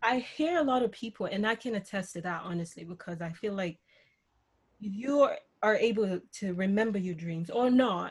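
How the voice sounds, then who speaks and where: With a somewhat breathy quality, a woman talks at a medium pitch and a moderate pace, her pitch varying in an ordinary way. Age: 30s. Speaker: podcast co-host. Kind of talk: casual chat.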